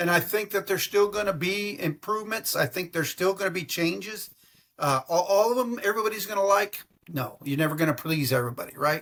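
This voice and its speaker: A man speaks very fast in a high voice with a Texan accent. His pitch varies in an ordinary way. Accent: Texan American English. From Texas. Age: 60s. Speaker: travel agent. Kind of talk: casual interview. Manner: animated.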